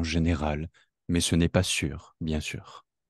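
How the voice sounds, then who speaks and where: A man speaks in a very deep, low pitch at a fairly slow pace. The sound is dry and close with no echo, over a quiet background. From south-east France (Rhône-Alpes, between Lyon and Grenoble). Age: 30s. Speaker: French teacher, podcast co-host. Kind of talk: scripted learner dialogue. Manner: slow, clear.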